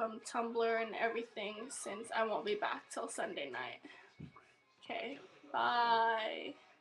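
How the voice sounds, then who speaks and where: Faint music plays in the background. A woman talks at a very slow pace with ordinary pitch variation. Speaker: vlogger. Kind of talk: casual vlog chat. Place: home room. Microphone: webcam.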